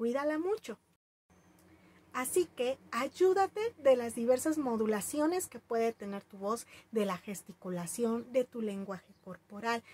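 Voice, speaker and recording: A woman's lively intonation at a fairly slow pace, with big swings in loudness and a dry, close sound with no echo. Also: fairly high pitch for a woman. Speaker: storytelling teacher. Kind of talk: tutorial.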